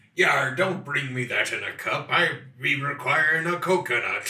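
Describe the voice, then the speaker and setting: A man performs a put-on character voice at a moderate pace. His pitch sits fairly high. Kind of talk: archaic pirate speech.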